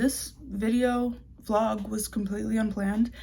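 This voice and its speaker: A woman's fairly high, somewhat breathy voice with a dark, mellow tone at a moderate pace. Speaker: fashion designer vlogger. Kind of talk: casual vlog narration. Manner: casual, chatty.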